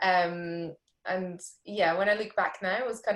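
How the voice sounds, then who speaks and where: A woman with a Scottish accent, medium pitch, and fairly even intonation. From rural Scotland. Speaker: immunologist. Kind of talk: interview.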